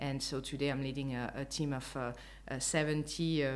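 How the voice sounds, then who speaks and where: This woman speaks in a French accent with a very deep, low pitch. Her intonation is monotone and flat, with vocal fry. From France. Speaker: customer experience executive. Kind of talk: interview. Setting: apartment in Lisbon. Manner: hesitant, many fillers.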